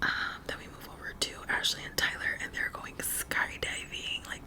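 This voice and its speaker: Against noticeable background noise, the speech is whispered at a very slow pace. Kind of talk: ASMR TV show recap talk to camera.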